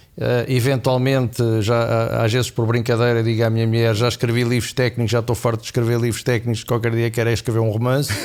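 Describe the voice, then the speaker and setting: Noticeable background noise sits behind a man speaking at a very fast pace with hardly any pauses. His medium-pitched voice is monotone and flat. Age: 60s. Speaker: finance professor and markets expert. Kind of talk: podcast interview. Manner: hesitant, many fillers.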